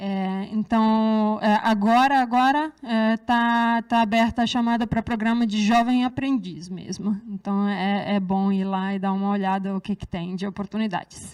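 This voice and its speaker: With a slight Serbian accent, a woman speaks at a fairly slow pace and a fairly high pitch, using fairly even intonation and hardly any pauses, in a very clean recording with a silent background. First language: Serbian (speaking Portuguese). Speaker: researcher. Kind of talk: lecture. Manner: hesitant, many fillers.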